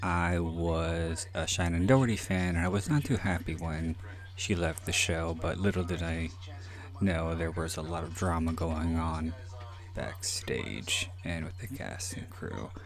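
Over music in the background and audible room echo, a man with a very deep, low pitch speaks at a fairly slow pace with fairly even intonation. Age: 30s. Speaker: podcast host and author. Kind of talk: solo movie commentary. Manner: rambling with frequent fillers.

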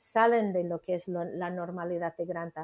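A woman with an American accent, a dark, mellow tone and a moderate pace. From United States. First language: English (speaking Spanish). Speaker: literary editor. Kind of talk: interview. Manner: halting.

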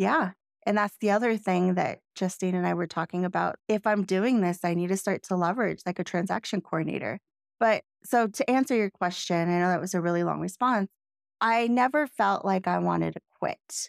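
In an ordinary speaking voice, a woman speaks at a fairly quick pace and medium pitch with ordinary pitch variation, the recording very clean, silent in the background, dry and close with no echo. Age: 40s. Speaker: real estate agent and podcast co-host. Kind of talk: casual chat.

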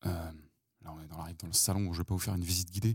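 A man's very deep, low voice comes across somewhat breathy in a dry, close sound with no echo. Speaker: podcast host. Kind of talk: walking monologue. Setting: outdoors. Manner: hushed. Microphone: mic close to mouth.

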